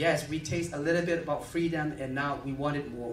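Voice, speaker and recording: A man speaks at a fairly quick pace in a fairly high pitch with a monotone, flat intonation, over light background noise and audible room echo. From Myanmar. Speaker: activist and refugee-aid founder; conference presenter. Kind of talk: lecture with Q&A. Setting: stage with audience. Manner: halting. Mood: earnest, impassioned. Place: hall. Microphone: podium.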